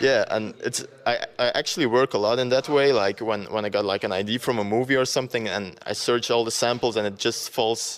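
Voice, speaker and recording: A man with a Flemish accent speaks at a fairly quick pace and a medium pitch. His intonation stays fairly even. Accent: Belgian (Flemish) accent in English. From Belgium. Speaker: dubstep producer and DJ. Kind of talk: interview. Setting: radio interview. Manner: hesitant, many fillers.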